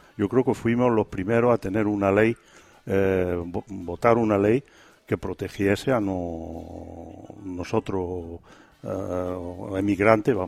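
A man's fairly low voice at a very slow pace, with fairly even intonation and a dry, close sound with no echo. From Quintana de la Serena, Extremadura. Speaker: emigrant association representative. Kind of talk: radio interview. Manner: halting.

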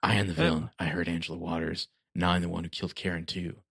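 Raspy and put-on, this character voice rattles along at a very fast pace in a flat monotone. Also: man, very deep, low pitch for a man. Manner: exaggerated, brooding.

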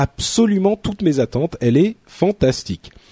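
A high-pitched man with a dark, mellow tone and very wide pitch swings at a fairly slow pace, dry and close with no echo. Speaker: podcast host. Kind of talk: casual chat.

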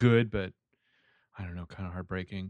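A man speaks with a slight Southern US accent and fairly even intonation. The sound is dry and close with no echo, over a quiet background. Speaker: podcast co-host. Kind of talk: casual chat.

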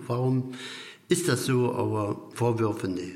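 A man talks at a fairly slow pace, his voice carrying audible room echo. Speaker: master carpenter and business owner. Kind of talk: interview. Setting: factory hall.

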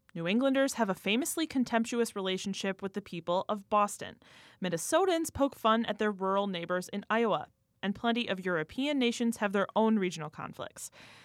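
A woman with an American accent and medium pitch talks at a fairly quick pace with lively intonation. The recording is very clean, with a silent background. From US Midwest. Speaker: radio reporter. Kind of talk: radio feature. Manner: laughs often.

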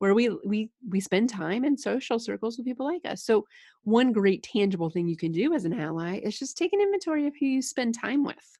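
Her voice is somewhat breathy and fairly high for a woman. She speaks with lively intonation. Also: dry, close sound with no echo. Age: 30s. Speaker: leadership consultant and speaker. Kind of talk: casual interview.

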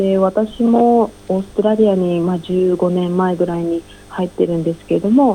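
A woman's medium-pitched, dark, mellow voice at a moderate pace with fairly even intonation. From Japan. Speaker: ink artist. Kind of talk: interview.

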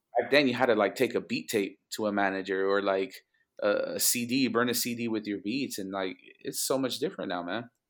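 Recorded very cleanly with a silent background, a man speaks at a medium pitch with ordinary pitch variation. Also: fairly quick pace. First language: Spanish. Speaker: music producer. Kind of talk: casual interview chat. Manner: conversational, relaxed.

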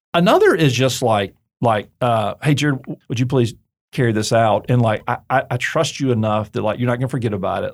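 A man talks at a fairly quick pace in an unremarkable speaking voice with ordinary pitch variation. The recording is very clean, with a silent background. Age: 40s. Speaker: seminary president and author. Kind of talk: interview. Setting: studio. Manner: conversational, many filler words and repeats.

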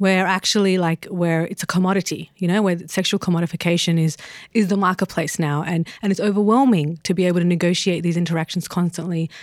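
A woman with an Australian accent speaks at a very fast pace in a fairly low pitch. Her intonation is fairly even and her loudness stays very even. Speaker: podcast co-host, editor. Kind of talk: casual chat.

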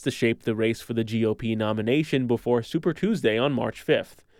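A man talking at a very fast pace. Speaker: radio news anchor. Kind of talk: news reading, scripted radio newscast. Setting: studio. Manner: formal, steady, even-paced.

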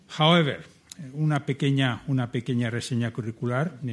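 On a very clean recording with a silent background, a man with a fairly high pitch speaks at a fairly quick pace and ordinary pitch variation. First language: Spanish. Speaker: event chairman. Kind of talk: formal welcome speech.

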